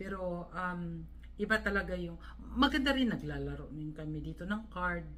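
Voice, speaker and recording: A woman talks at a moderate speed while noticeable background noise and audible room echo fill the recording. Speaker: vlogger. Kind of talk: vlog monologue. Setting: hotel room. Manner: halting.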